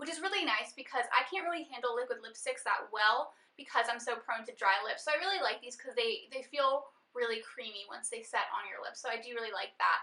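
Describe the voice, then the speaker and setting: A woman speaks at a high pitch and a fairly quick pace, with lively intonation. Her voice is raised and projected. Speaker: beauty vlogger. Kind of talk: casual monthly favorites vlog.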